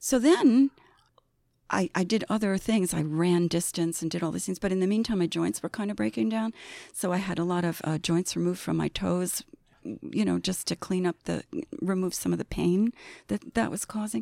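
Her voice a normal speaking voice with a fairly low pitch, a woman speaks at a moderate pace with lively intonation, the very clean recording dry and close with no echo and a silent background. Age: 60s. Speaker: agency accounting director. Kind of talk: casual interview. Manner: laughs often.

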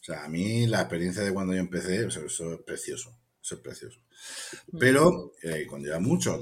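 A man talks at a fairly quick pace in a very deep, low voice. His intonation is lively. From Spain, Cartagena (Murcia). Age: 40s. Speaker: bookseller and poet. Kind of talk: interview. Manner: hesitant, with fillers and repetitions.

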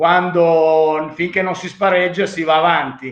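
A man's high-pitched voice, fairly slow and with fairly even intonation. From Romagna, Italy. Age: 60s. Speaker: baseball manager and coach. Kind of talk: interview.

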